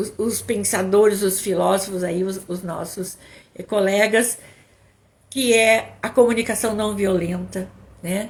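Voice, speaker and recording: Somewhat breathy and fairly slow, a woman speaks with fairly even intonation and long, frequent pauses. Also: medium pitch for a woman. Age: 60s. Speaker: psychologist and couples therapist. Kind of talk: live stream talk. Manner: halting, repeats words.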